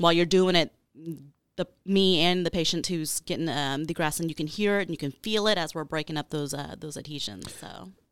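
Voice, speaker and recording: A woman with an American accent speaks in a plain, everyday voice at a fairly low pitch, with ordinary pitch variation. She moves at a fairly quick pace in a very clean recording with a silent background. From Texas, Arlington. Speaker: chiropractor. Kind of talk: podcast interview.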